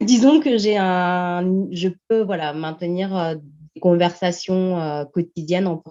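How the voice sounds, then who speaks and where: A woman speaks at a very slow pace and medium pitch. Her loudness swings widely, while her pitch varies in an ordinary way. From France. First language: Portuguese (speaking French). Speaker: language teacher. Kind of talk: interview. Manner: hesitant, many fillers.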